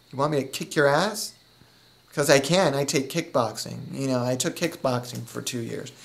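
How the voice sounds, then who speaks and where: A man's fairly high voice with vocal fry, ordinary pitch variation and a moderate pace. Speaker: comedian. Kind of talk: comedy audition interview.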